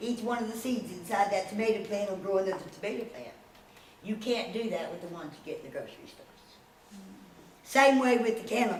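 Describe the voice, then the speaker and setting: Over noticeable background noise and audible room echo, a woman with a fairly high pitch speaks at a very fast pace, with long, frequent pauses and big swings in loudness. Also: ordinary pitch variation. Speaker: aquaponics project founder presenting. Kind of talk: presentation to a society. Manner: animated.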